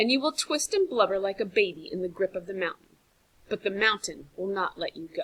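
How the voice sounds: The reading voice is natural. Its intonation stays lively.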